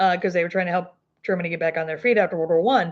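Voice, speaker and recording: A woman speaks with an American accent. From US South, Arkansas Ozarks. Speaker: crochet YouTuber. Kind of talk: casual livestream chat. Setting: livestream. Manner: casual, filler-heavy.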